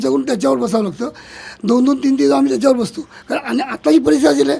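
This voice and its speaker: A man with a high pitch swings very widely in pitch while noticeable noise runs in the background. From Mumbai (Chunabhatti). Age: 60s. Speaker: local resident. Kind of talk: street interview.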